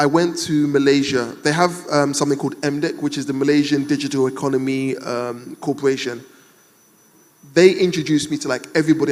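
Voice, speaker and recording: Speaking with a British accent at a very fast pace, a man uses a fairly high pitch. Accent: UK. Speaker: entrepreneur, panel speaker. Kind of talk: panel discussion. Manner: animated.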